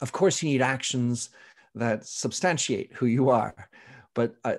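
A man talks at a moderate pace with a medium pitch. His is a plain, everyday voice. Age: 50s. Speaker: author and podcaster. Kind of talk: interview conversation.

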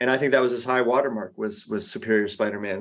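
Using a normal speaking voice, a man talks at medium pitch with ordinary pitch variation. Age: 40s. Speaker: comic book artist. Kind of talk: interview.

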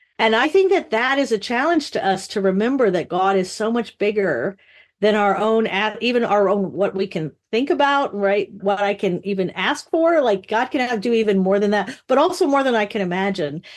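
In an ordinary speaking voice, the speaker talks at a moderate pace with lively intonation against a quiet background. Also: woman, fairly high pitch for a woman. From mostly western US, moved often. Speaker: literature professor. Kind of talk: interview.

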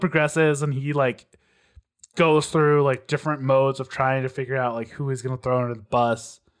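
A man with an American accent and an ordinary speaking voice talks at a moderate pace, pitched fairly high, on a very clean recording with a silent background. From Texas. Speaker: podcast co-host. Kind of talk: casual chat.

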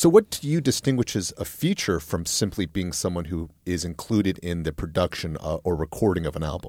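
A man speaks at a fairly quick pace with hardly any pauses, his very deep, low pitch dark and mellow in tone. The sound is dry and close with no echo, on a very clean recording with a silent background. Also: ordinary pitch variation. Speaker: podcast co-host, music critic. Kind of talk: casual chat.

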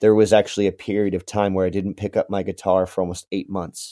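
This very clean recording has a silent background. A man with a fairly low pitch speaks in a West Coast accent. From Southern Oregon. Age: 30s. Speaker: singer-songwriter. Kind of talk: casual interview.

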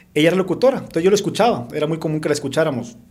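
A man talking at a very fast pace amid audible room echo. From Sonora, Mexico (Caborca), raised in Tucson from age 12. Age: 30s. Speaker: radio and TV presenter. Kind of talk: casual chat.

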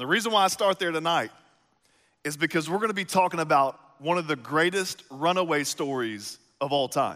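Animated and fairly quick, a man with a Texas accent talks in a fairly high pitch and a bright, sharp tone with ordinary pitch variation, on a very clean recording with a silent background. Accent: Southern US (Texas). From East Texas. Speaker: pastor. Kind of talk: sermon.

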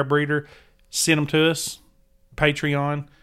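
A man speaks with a Southern US accent in a very clean recording against a silent background. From Tennessee, US South. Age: 40s. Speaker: outdoor podcast host. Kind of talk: casual chat.

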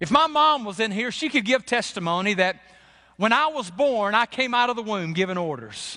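Raised and projected, a man's high-pitched voice has a bright, sharp tone and lively intonation at a moderate pace. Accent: American. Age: 50s. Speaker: pastor. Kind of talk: sermon. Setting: church.

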